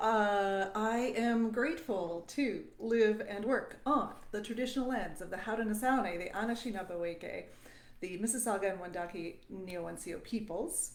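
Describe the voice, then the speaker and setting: A woman's fairly high voice, big swings in loudness, and audible echo from the room. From Southern Ontario, Canada. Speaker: voice teacher. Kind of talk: live stream talk to viewers. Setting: live stream. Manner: halting, many fillers.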